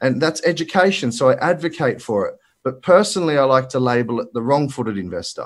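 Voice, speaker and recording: Fairly quick and lively in intonation, a man speaks with an Australian accent. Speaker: finance broker. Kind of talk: presentation. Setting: video call. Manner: animated.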